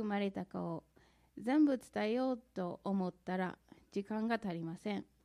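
A woman with an American accent, dark, mellow tone and lively intonation at a fairly slow pace. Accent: American accent in Japanese. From US Midwest (St. Louis, Missouri). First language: English (speaking Japanese). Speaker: church member giving testimony. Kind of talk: testimony. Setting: church.

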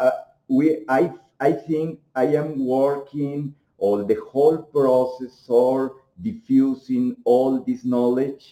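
In a Mexican accent, a man talks very slowly with a dark, mellow tone, medium pitch and ordinary pitch variation. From Mexico. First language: Spanish. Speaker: homeopathic doctor and researcher. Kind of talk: interview. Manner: halting.

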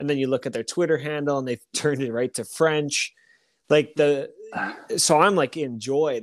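In an ordinary speaking voice, a man keeps a moderate pace and fairly even intonation. His pitch sits fairly high. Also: dry, close sound with no echo. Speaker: co-host, hockey podcaster. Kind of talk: casual sports podcast chat. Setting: remote recording, online audio call.

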